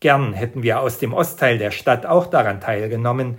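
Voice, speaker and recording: In a very clean recording with a silent background, a man with a medium pitch and a somewhat breathy voice speaks at a moderate pace with lively intonation. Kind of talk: scripted devotional talk.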